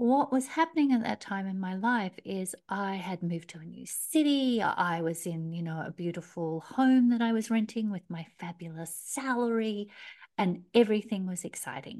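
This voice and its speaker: A woman in an Australian accent, medium in pitch, at a moderate pace with hardly any pauses, lively intonation, and big swings in loudness against a quiet background. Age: 50s. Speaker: career coach. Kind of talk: interview. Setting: remote call.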